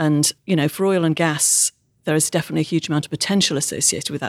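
On a very clean recording with a silent background, a woman with a British accent speaks at a very deep, low pitch. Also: dry, close sound with no echo. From UK. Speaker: technology consultant. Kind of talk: interview.

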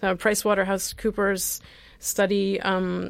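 With an American accent, this speaker uses an ordinary speaking voice at a fairly slow pace. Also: woman. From US Midwest. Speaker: radio host, co-founder of a repair project. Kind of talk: radio talk show, casual chat. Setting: radio studio.

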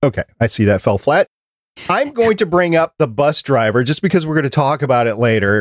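On a very clean recording with a silent background and a dry, close sound with no echo, a man talks at a moderate pace with very wide pitch swings. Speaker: podcast producer and host. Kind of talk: casual chat. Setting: live-streamed podcast recording.

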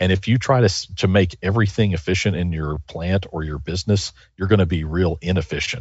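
This man has a very deep, low pitch and a somewhat breathy voice. He talks at a fairly quick pace with ordinary pitch variation. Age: 50s. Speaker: business author. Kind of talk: interview.

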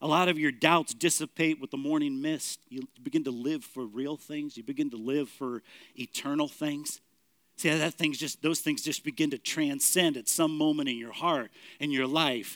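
At a moderate pace, a man uses an ordinary speaking voice with a fairly high pitch and ordinary pitch variation, recorded dry and close with no echo. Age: 50s. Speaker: pastor. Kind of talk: sermon.

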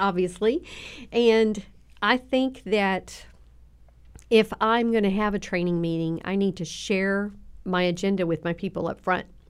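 Speaking with a Southern US accent, a woman talks at a fairly slow pace and medium pitch with ordinary pitch variation and long, frequent pauses, in a very clean recording with a silent background. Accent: Southern drawl, slight twang. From Southern Oklahoma. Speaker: children's ministry leader. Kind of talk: casual interview chat. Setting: podcast studio.

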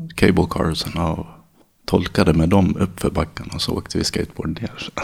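A man at a moderate pace. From Dalarna, Sweden (childhood in San Francisco until 13). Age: 40s. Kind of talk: interview.

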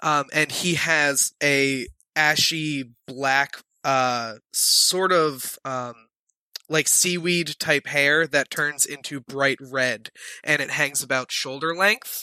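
Speech at a very slow pace, captured in a very clean recording with a silent background. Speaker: tabletop game player. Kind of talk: casual roleplaying chat. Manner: joking.

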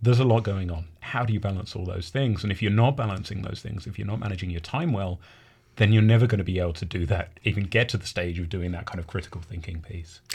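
Speaking very fast, a man with a fairly low, somewhat breathy voice and ordinary pitch variation is heard on a very clean recording with a silent background. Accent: English. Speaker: university academic skills coordinator. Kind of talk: interview. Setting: radio studio.

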